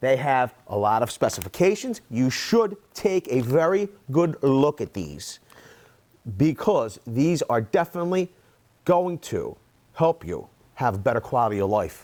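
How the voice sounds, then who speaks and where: Loud and fairly slow, a man with a fairly high pitch speaks with very wide pitch swings. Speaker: construction tool reviewer. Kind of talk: product review. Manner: animated.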